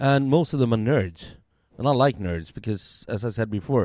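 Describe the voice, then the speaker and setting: A man with a Swedish accent talks at a fairly quick pace in a dark, mellow tone, at a medium pitch with ordinary pitch variation. The very clean recording has a silent background and a dry, close sound with no echo. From Sweden. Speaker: beer podcaster and restaurant worker. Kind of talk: casual chat. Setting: at home.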